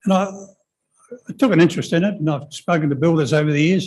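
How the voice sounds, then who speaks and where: A man speaks at a very fast pace with a New Zealand accent. His pitch is high. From New Zealand, New Plymouth. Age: 80s+. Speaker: member of the public at a council hearing. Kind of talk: hearing submission. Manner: halting.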